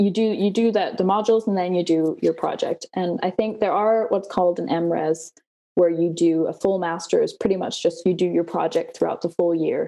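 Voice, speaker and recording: A woman speaks with a Danish accent at medium pitch. Her pace is moderate. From Denmark. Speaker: PhD student. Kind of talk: interview. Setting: video call.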